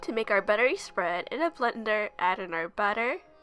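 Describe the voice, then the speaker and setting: There is noticeable background noise in this clip. Over it, a woman talks at a moderate pace. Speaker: cooking youtuber. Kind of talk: tutorial.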